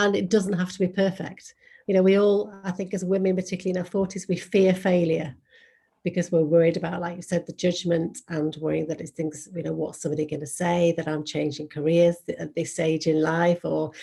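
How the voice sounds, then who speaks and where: A woman with an English accent talks at a fairly quick pace, her fairly low voice somewhat breathy. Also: fairly even intonation. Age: 50s. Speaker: model and podcaster. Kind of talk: interview.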